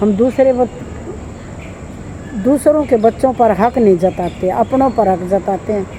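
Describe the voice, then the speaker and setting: A woman with long, frequent pauses and ordinary pitch variation, amid noticeable background noise. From Haryana, India. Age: 60s. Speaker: vlogger giving life advice. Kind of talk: casual monologue to camera.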